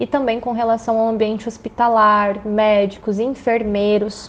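A woman's normal speaking voice, fairly high in pitch, at a moderate pace. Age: 30s. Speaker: business administration researcher. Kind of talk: expert interview.

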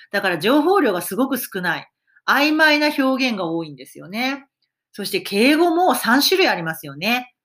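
On a very clean recording against a silent background, a woman talks at a moderate pace in a high pitch with very wide pitch swings. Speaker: English teacher podcaster. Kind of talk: solo podcast monologue.

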